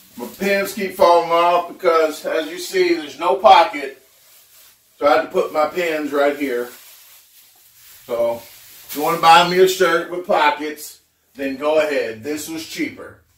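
With audible room echo around him, a man talks at a fairly slow pace in a high pitch, his pitch varying in an ordinary way while his loudness swings widely. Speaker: home cooking vlogger. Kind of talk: casual vlog chat. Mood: joking, relaxed. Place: kitchen.

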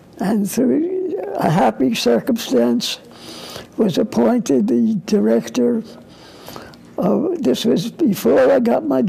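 Pausing long and often, a man speaks at a fairly slow pace with a high pitch and very wide pitch swings. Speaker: psychologist and NGO representative. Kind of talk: interview. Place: studio. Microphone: lapel.

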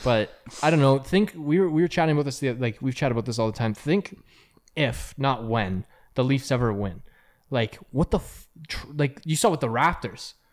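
The speaker has a Canadian accent and a fairly quick pace. Long, frequent pauses break up the speech over a quiet background. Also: man, medium pitch for a man. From Canada. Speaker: podcast co-host. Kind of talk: casual chat. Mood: relaxed, joking. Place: home room. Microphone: studio mic.

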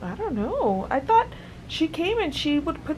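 Light noise sits behind the woman's voice. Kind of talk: casual vlog chat. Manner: drowsy, slow, low-energy post-surgery voice. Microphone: phone near.

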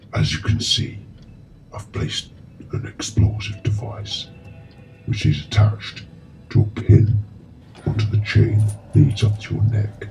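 Over background music, a man with a fairly low voice speaks in a menacing tone at a moderate pace, his delivery flat and monotone, broken by long, frequent pauses. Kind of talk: horror villain monologue. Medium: short film. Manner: slow, cold, menacing.

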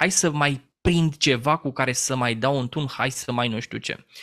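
In a normal speaking voice, a man talks at a fairly slow pace and a fairly high pitch, with ordinary pitch variation against a quiet background. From Romania, Teleorman; Romania. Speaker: business trainer and former radio journalist; interview guest. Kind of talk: interview. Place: home room. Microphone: studio mic.

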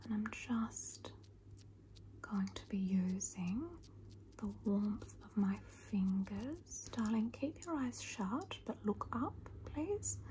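A woman speaks at a very slow pace, leaving long, frequent pauses. Light background noise is present. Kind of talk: soft-spoken roleplay narration. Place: home room. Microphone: phone near.

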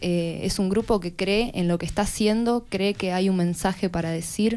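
Her tone is dark and mellow. The woman speaks at a moderate pace with ordinary pitch variation. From Argentina, Chubut. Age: 20s. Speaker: actress. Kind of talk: radio interview. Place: studio. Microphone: studio mic.

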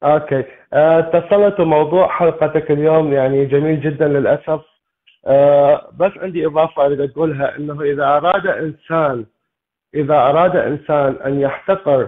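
Speech comes at a fairly slow rate. Its intonation changes fairly little. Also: man, fairly high pitch for a man. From Iraq. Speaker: caller. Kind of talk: phone-in call.

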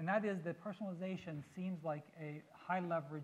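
A man speaks with fairly even intonation at a moderate pace. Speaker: education technology researcher. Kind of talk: panel talk. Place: stage. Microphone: lapel.

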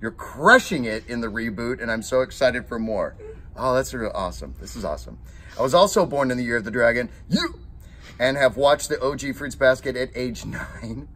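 A man speaks in an amused tone at a fairly quick pace. His loudness swings widely. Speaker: voice actor. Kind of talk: reading fan tweets aloud on camera. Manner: casual, amused. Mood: amused, warm. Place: home room.

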